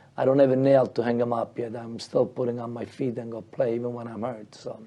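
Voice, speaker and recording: A man speaks very fast at a medium pitch with monotone, flat intonation and big swings in loudness over noticeable background noise. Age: 60s. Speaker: sports show co-host. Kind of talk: casual chat. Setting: studio.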